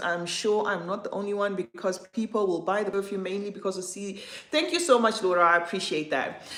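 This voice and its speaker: Over noticeable background noise, a woman of medium pitch speaks at a fairly quick pace. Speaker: perfume content creator and livestream host. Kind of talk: livestream chat reading viewer comments. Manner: halting, many fillers and restarts.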